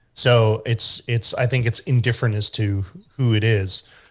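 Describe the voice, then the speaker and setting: A man's medium-pitched voice with a strong Canadian accent, over a quiet background. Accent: thick Canadian. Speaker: SEO expert. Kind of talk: group discussion Q&A. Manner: hesitant with many fillers.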